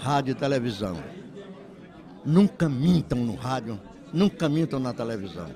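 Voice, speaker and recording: Through crowd noise in the background, a man of medium pitch speaks at a fairly slow pace with lively intonation. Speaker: veteran radio broadcaster. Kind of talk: interview.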